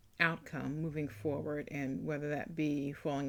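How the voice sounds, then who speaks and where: Very deep and low in pitch, a woman speaks at a fairly slow pace. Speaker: author and podcast host. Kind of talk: casual podcast talk. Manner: hesitant, many filler words.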